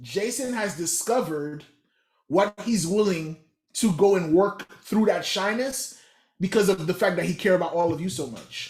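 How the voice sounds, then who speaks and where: Lively intonation from a man with a Haitian accent, high in pitch, at a moderate pace. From Haitian American, US. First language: Haitian Creole. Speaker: motivational speaker. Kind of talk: motivational workshop talk. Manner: animated.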